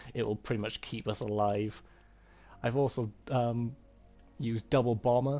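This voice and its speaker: A man at medium pitch and a moderate pace, with music in the background. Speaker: gamer. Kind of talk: game build tutorial voiceover. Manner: hesitant, slight stutter.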